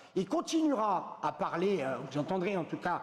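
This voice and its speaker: Noticeable background noise accompanies this man. His pitch is high and his pace moderate. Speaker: trading educator promoting a trading app. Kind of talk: live product demo. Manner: animated.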